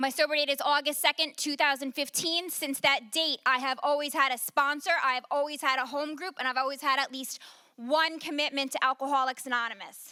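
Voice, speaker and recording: A woman speaks in a raised, projected voice at a fairly quick pace. Her high pitch carries a bright, sharp tone. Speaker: recovery speaker. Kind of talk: testimony.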